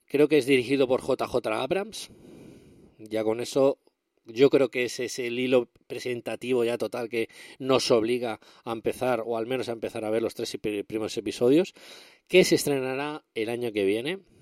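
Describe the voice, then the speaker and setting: An ordinary speaking voice moves at a moderate pace with ordinary pitch variation, captured with a dry, close sound with no echo. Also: man, medium pitch for a man, very clean recording, silent background. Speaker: tech podcast host. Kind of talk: casual solo podcast monologue.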